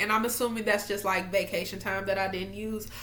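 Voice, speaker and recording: Noticeable background noise and audible room echo surround the recording. A woman speaks in an animated tone. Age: 20s. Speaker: faith vlogger. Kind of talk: casual devotional vlog. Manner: loud.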